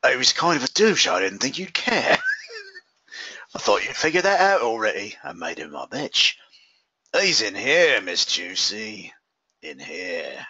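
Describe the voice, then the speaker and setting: Putting on a raspy character voice, a man talks at a moderate pace with long, frequent pauses. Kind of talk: comic overacting. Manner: smug, creepy, playfully menacing.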